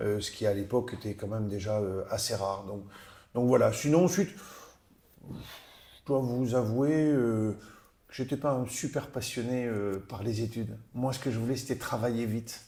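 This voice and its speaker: A man's tone is dark and mellow as he talks at a fairly slow pace. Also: medium pitch for a man, ordinary pitch variation. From southern France, Narbonne. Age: 60s. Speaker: businessman and rugby club president. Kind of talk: interview. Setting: office. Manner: hesitant, many fillers.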